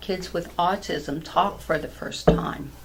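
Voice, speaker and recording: A woman's voice comes with audible room echo. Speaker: patch seller, health product distributor. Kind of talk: interview chat. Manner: animated.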